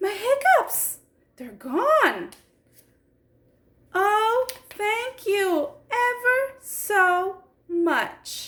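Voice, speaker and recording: Using a put-on character voice, a woman speaks squeaky and at an extremely high pitch, at a very slow pace with long, frequent pauses. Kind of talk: children's story time. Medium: read story. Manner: chatty, expressive.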